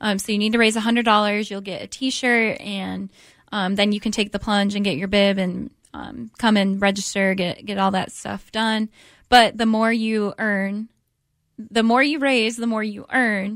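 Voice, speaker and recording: In a plain, everyday voice, a woman with an American accent speaks at medium pitch and a moderate pace, with fairly even intonation, on a very clean recording with a silent background. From US Midwest, Detroit area, Michigan. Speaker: charity development director. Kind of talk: radio interview.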